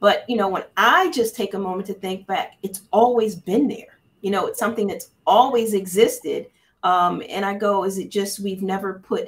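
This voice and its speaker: The voice of a woman comes across as somewhat breathy. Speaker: panel moderator and business professor. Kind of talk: moderated panel discussion. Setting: video call. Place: office.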